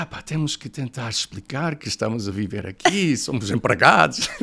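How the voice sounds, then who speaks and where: Lively in intonation, a man talks with an English accent. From United States, snowy region. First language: English (speaking Portuguese). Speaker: professor, podcast guest. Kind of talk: interview, personal storytelling. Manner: hesitant, many fillers.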